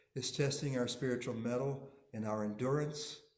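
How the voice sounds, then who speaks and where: A man talks with ordinary pitch variation, and audible room echo is present. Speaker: minister. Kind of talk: sermon.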